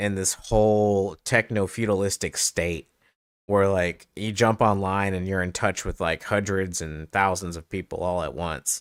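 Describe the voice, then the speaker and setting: Speaking at a fairly slow pace, a man with a fairly low pitch keeps a monotone, flat intonation, recorded with a dry, close sound and no echo. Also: very clean recording, silent background. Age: 40s. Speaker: gaming streamer. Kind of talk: casual chat. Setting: home streaming setup. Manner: loud.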